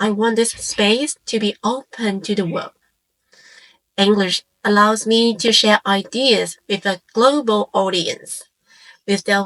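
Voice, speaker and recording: In a Cantonese accent, a woman speaks very slowly at medium pitch with fairly even intonation, recorded dry and close with no echo. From Hong Kong. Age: 40s. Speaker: content creator. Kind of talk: scripted personal introduction. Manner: calm, reflective.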